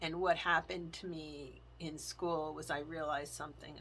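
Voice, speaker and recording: A woman talks at a fairly slow pace in a very deep, low pitch, with vocal fry and a bright, sharp tone. Her intonation stays fairly even, and audible room echo fills the recording. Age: 50s. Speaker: faith and planner vlogger. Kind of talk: testimony.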